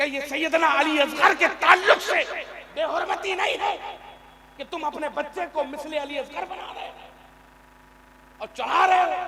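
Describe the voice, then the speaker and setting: A man's raised, projected voice at an extremely high pitch, with big swings in loudness, ordinary pitch variation and noticeable background noise. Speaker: Islamic preacher / religious orator. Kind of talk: Islamic sermon (bayan / takreer) to a live audience. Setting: live gathering with audience responses. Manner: emotional, forceful oratory.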